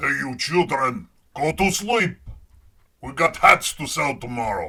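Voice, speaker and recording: A put-on character voice at a fairly slow pace, full of very wide pitch swings and big swings in loudness. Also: man, fairly high pitch for a man. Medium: read story. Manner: loud street-crier calls.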